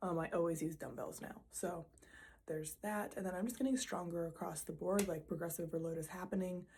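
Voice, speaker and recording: A woman speaks at a fairly quick pace in a fairly low pitch, with ordinary pitch variation. Her tone is dark and mellow, somewhat breathy. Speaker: vlogger, nurse and physique competitor. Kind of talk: casual vlog. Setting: at home, filming with own camera. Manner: casual, filler-heavy.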